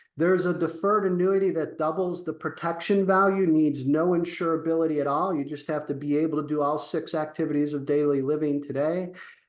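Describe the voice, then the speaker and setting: A man talks with hardly any pauses and fairly even intonation. Room echo is audible. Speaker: insurance consultant. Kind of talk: webinar presentation. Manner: hesitant fillers.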